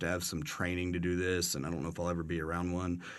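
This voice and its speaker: A bright, sharp tone in a West Texas accent. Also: man, quiet background. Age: 30s. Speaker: podcast host. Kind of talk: casual chat. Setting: studio.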